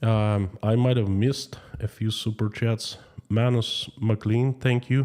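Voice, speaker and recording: Dark and mellow in tone, a man with a Russian accent talks at a fairly slow pace and medium pitch. His intonation is fairly even, and the recording is very clean with a silent background. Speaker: YouTube streamer. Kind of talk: live stream chat reading. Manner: slow, choosing words carefully.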